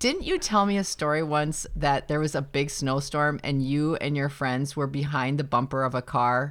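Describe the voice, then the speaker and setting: Her very deep, low voice keeps a moderate pace, and this woman's loudness stays very even. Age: 50s. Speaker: podcast host. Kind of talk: casual chat.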